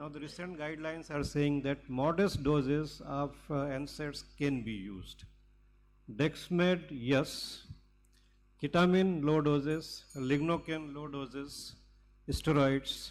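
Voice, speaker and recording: A man's fairly high voice at a very slow pace, with ordinary pitch variation, big swings in loudness and audible room echo. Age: 70s. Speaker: cardiac anesthesiologist. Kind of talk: lecture.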